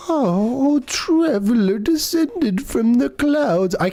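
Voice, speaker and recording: Over light background noise, a put-on character voice drawls at a very slow pace. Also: female-sounding voice, high pitch for a woman. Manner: grand, welcoming.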